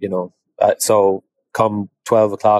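In an Irish accent, a man speaks with fairly even intonation. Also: dry, close sound with no echo. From Ireland. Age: 30s. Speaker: equine veterinarian. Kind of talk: interview. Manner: halting, many fillers.

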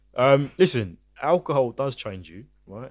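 In a very clean recording with a silent background, a man with a British accent speaks with ordinary pitch variation. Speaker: podcast guest. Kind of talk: casual chat.

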